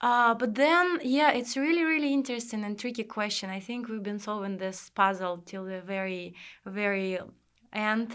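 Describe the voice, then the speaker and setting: A woman with a Russian accent speaks at a fairly high pitch and a moderate pace. Her intonation is lively, with big swings in loudness. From Russia, Irkutsk. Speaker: language teaching assistant. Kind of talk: group interview.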